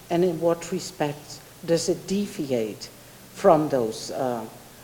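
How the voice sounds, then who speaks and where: In a room with audible echo, a woman speaks very slowly with long, frequent pauses. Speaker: professor, keynote speaker. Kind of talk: academic Q&A answers. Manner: hesitant, many fillers and restarts.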